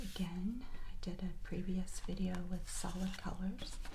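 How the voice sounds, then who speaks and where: The speaker talks at a very slow pace in a relaxed tone. There is noticeable background noise. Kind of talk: ASMR soft spoken narration; casual talk to camera. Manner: soft-spoken, relaxed.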